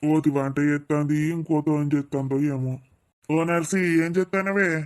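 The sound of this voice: In a cartoonish character voice, a man speaks at a fairly slow pace with a fairly high pitch, very even loudness and fairly even intonation.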